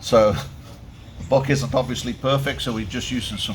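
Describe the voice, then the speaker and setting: A man talks fairly slowly while noticeable noise fills the background. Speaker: boat mechanic. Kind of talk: casual workshop walkthrough. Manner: loud; halting.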